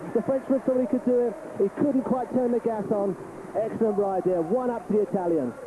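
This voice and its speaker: A man with a London accent talks at a fairly quick pace in a high voice, his loudness very even and his pitch moving in an ordinary way over noticeable background noise. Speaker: cycling commentator. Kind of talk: live commentary. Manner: animated.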